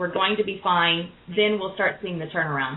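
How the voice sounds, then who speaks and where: A woman speaks at a medium pitch and a moderate pace with ordinary pitch variation. Background noise is noticeable. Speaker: tarot reader radio host. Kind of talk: call-in radio show. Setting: live radio show with callers. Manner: loud and boisterous.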